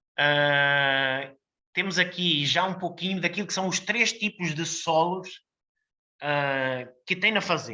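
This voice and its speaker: Over a quiet background, a bright, sharp-toned voice speaks at a very slow pace. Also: man, high pitch for a man, ordinary pitch variation. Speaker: winemaker. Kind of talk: technical presentation. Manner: hesitant, many fillers.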